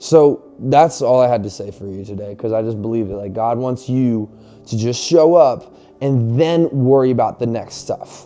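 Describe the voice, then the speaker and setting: A man at medium pitch, animated in tone, with ordinary pitch variation, big swings in loudness, a moderate pace and music in the background. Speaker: fitness and faith motivational vlogger. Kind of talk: motivational talk to camera. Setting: garage, filming to camera. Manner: animated, casual; loud, yelling.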